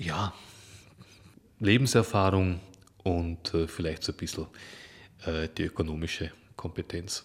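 A man speaks fairly slowly in a very deep, low pitch, somewhat breathy, with fairly even intonation. Long, frequent pauses fill a very clean recording with a silent background. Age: 50s. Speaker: activist, former recruiter. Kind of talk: interview. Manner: hesitant, many fillers.

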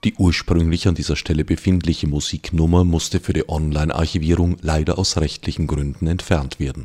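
A man talks at a fairly quick pace with hardly any pauses. His very deep, low voice keeps a monotone, flat intonation. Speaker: radio host. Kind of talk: interview. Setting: studio.

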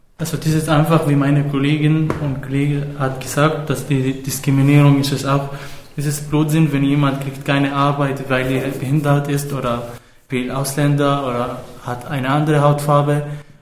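Amid noticeable background noise and audible room echo, a man speaks in a fairly high pitch with monotone, flat intonation. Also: moderate pace. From Syria. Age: 20s. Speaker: refugee youth, amateur theater participant. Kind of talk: interview. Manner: halting.

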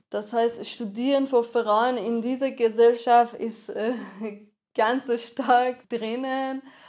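A woman speaks very slowly at a high pitch, her intonation monotone and flat. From Iran. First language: Persian (speaking German). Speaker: filmmaker and activist. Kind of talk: interview. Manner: hesitant, frequent fillers.

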